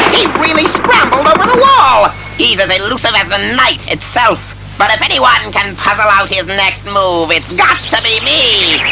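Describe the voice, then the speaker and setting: Loud background noise surrounds a man doing a put-on character voice. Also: moderate pace. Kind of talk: comic-book audio drama. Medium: audio drama. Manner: gloating, theatrical, laughing.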